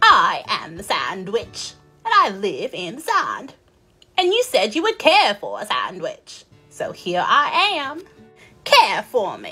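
Using a put-on character voice, a woman cackles in an extremely high pitch with a raised, projected voice at a fairly slow pace, with faint music in the background. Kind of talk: children's storytime puppet voice. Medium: puppet show. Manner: imperious, mocking, gleeful.

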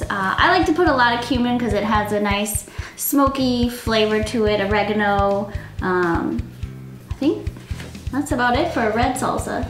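Over clear music in the background and audible room echo, a woman speaks at a high pitch and a fairly slow pace, with very even loudness and ordinary pitch variation. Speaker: cooking show co-host. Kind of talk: casual explanation. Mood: relaxed, amused. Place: home room.

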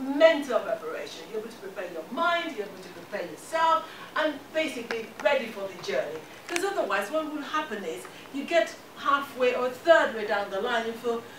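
Over noticeable background noise and audible room echo, a woman speaks fairly quickly at a high pitch. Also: big swings in loudness. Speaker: guest. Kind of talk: motivational talk. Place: classroom. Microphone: camera far.

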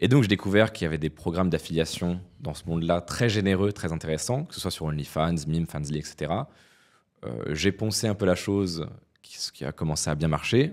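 A man speaks in a very deep, low pitch. The background is quiet. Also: ordinary pitch variation, moderate pace. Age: 20s. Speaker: entrepreneur; podcast guest. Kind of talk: interview. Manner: hesitant with frequent fillers. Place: studio. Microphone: studio mic.

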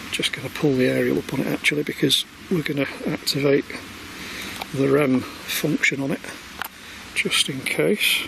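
A man talks at a moderate pace, with long, frequent pauses. The sound is dry with no echo, though background noise is noticeable. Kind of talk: casual vlog chat. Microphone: phone near.

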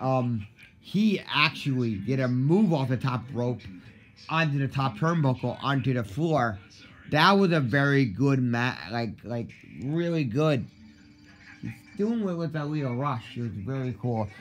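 Music plays in the background as a man speaks at a fairly slow pace with lively intonation. Long pauses come often. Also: medium pitch for a man. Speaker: wrestling YouTuber. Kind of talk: casual video review. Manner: halting, many fillers.

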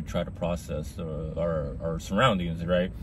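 With light background noise, a man's voice comes through in a dry sound with no echo. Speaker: video essayist. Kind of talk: casual monologue. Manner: rambling, filler-heavy; casual, profane. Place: car. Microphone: phone near.

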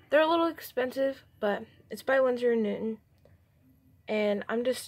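A quiet voice at a moderate pace. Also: woman. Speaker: hobby artist. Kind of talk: casual talk to camera, product review. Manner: quiet, a little unenthusiastic. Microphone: phone near.

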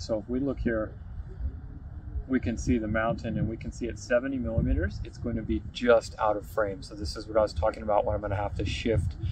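A man talks at a fairly quick pace with ordinary pitch variation. The sound is dry with no echo, though noticeable background noise is present. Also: fairly low pitch for a man. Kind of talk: tutorial. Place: open country. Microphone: phone near.

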